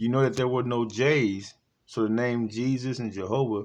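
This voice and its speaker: Over a quiet background, a man with a medium pitch speaks at a moderate pace with ordinary pitch variation. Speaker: bible teacher. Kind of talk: sermon-style bible teaching. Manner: halting, stumbling over words.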